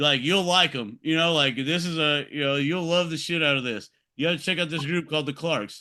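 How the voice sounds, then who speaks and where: With a Texas accent, a man speaks at a fairly quick pace in a bright, sharp tone, his pitch fairly high and ordinary in variation, against a quiet background. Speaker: podcast host. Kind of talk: casual chat.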